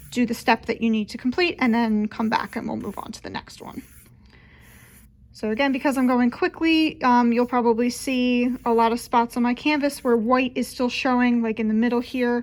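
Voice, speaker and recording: With fairly even intonation, a woman talks at a high pitch. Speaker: children's librarian. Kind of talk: tutorial. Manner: casual, friendly; fast.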